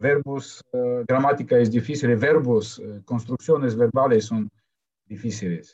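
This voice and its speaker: With a Russian accent, a man talks at a fairly slow pace, his loudness rising and falling a great deal. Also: medium pitch for a man, ordinary pitch variation. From Ukraine. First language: Russian (speaking Spanish). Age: 40s. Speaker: polyglot, marketing professional. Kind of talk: interview. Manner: halting.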